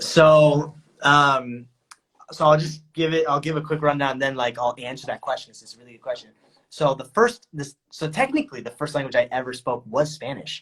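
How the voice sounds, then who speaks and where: Fairly high in pitch, a man with an American accent talks at a moderate pace with ordinary pitch variation in an unremarkable speaking voice. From United States. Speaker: content creator. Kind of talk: casual chat.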